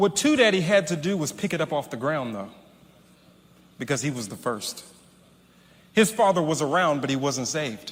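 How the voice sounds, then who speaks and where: A man with a fairly high pitch and very wide pitch swings speaks at a moderate pace, with long, frequent pauses. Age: 30s. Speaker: preacher, son of a famous pastor. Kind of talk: sermon.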